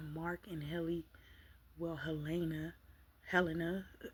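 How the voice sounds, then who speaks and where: A woman speaks at a moderate pace in a fairly low, somewhat breathy voice with monotone, flat intonation. She leaves long, frequent pauses. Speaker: vlogger. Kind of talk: casual chat. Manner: soft-spoken; halting.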